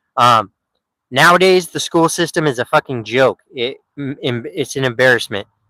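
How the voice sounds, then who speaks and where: A man with an American accent speaks at a moderate pace with ordinary pitch variation and a bright, sharp tone, recorded dry and close with no echo. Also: fairly high pitch for a man. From Oregon. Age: 30s. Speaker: livestreamer. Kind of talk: casual chat. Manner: animated.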